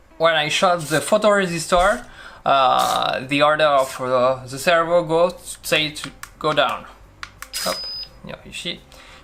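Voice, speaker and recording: A man talks at a fairly slow pace with a high pitch. Noticeable background noise runs behind him. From France. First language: French. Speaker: maker and video creator. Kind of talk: tutorial. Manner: halting.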